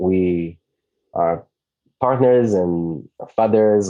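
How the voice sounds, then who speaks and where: The voice has a dark, mellow tone, ordinary pitch variation and an Israeli accent, against a quiet background. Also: man. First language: Hebrew. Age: 30s. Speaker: digital nomad community founder. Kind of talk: podcast interview.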